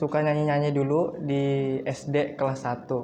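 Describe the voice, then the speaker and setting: A man's fairly high-pitched, monotone voice, flat in intonation, at a moderate pace with audible room echo. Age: 20s. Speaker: university student and singer. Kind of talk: podcast interview. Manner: casual.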